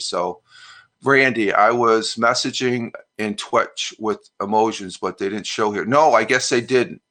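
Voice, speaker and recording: Speaking with a New York accent, a man uses a medium pitch, ordinary pitch variation and a bright, sharp tone against a quiet background. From upstate New York, US. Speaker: live streamer, retired Air Force veteran. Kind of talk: casual live-stream chat reading viewer comments. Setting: live stream. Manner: halting, many fillers.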